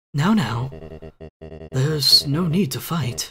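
At a fairly slow pace, someone delivers lines in a put-on character voice. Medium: virtual streamer. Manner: warm, calm, courteous.

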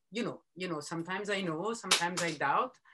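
A woman at a very fast pace with ordinary pitch variation, over noticeable background noise. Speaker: editor and broadcaster interviewing a designer; interviewer or fashion consultant. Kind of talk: panel conversation. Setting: video call. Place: home room. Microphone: video call.

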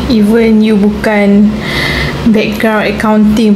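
Against noticeable background noise, a woman talks at a very slow pace. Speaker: small business owner vlogger. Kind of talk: casual vlog chat. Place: home room. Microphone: phone near.

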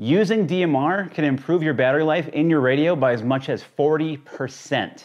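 A man speaks at a moderate pace with a slightly mellow tone. His pitch is fairly high and varies in an ordinary way.

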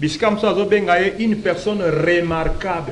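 Against light background noise, a man talks at a high pitch. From DR Congo. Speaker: pastor. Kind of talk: talk show interview; talk show commentary. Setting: studio. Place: studio. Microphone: lapel.

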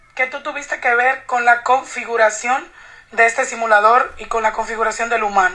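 Against noticeable background noise, a woman talks fairly quickly in a high pitch. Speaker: psychic channeler. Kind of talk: casual chat. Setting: phone call.

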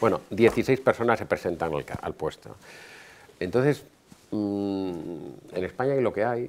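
Lively intonation from a man with a fairly low pitch, a fairly slow pace and light background noise. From Spain. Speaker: hotel business owner; guest. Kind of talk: lecture. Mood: relaxed, storytelling. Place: hall. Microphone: podium.

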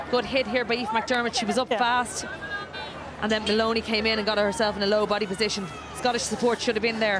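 With crowd noise behind her, a woman with an Irish accent speaks very fast at a fairly high pitch, her intonation monotone and flat, her loudness very even. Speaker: former rugby captain, pundit. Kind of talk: live co-commentary.

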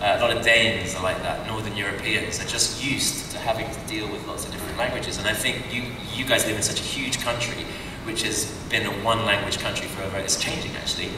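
A man talks very fast amid noticeable background noise and audible room echo. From Britain. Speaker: actor. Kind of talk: convention panel answer. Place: hall.

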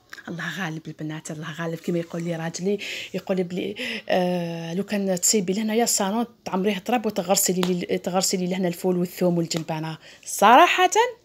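An ordinary speaking voice from a woman at medium pitch, fairly quick in pace with fairly even intonation. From Algeria, Tipaza province; Algeria. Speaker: vlogger and homemaker; vlogger. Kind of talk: casual vlog narration. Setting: outdoors on a drive in the countryside. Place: open country.

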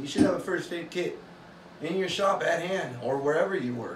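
Fairly quick speech from a man amid noticeable background noise. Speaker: hobby woodworker vlogger. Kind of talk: casual vlog chat. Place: workshop.

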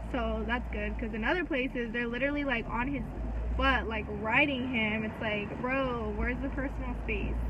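A woman talks at a moderate pace while noticeable noise fills the background. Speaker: vlogger. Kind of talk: casual vlog chat. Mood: amused, chatty. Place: car. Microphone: phone near.

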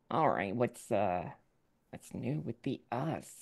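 A nasal, raspy put-on character voice at a low-to-middle pitch. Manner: pondering, curious.

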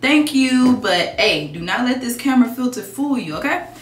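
You can hear a woman's voice with audible room echo and light background noise. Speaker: beauty vlogger. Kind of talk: casual vlog chat, Q&A. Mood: relaxed, candid, playful. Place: home room. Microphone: phone near.

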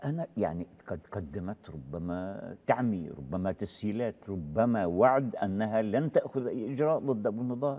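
Speaking at a fairly slow pace, the man has a fairly low pitch, a dark, mellow tone and lively intonation. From Palestine. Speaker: former militant group leader; interview guest. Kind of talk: interview testimony. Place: studio. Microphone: lapel.

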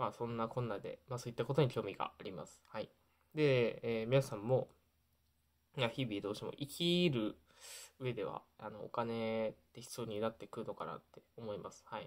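A man talks at a moderate pace with ordinary pitch variation. His loudness swings widely against a quiet background. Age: 20s. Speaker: YouTuber sharing life lessons. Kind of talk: casual vlog talk to camera. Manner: hesitant, many fillers. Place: home room.

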